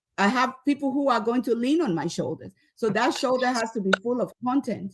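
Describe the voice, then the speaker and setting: A woman talks with a Nigerian accent. Her pitch varies in an ordinary way. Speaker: leadership expert and professor. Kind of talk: motivational talk to students.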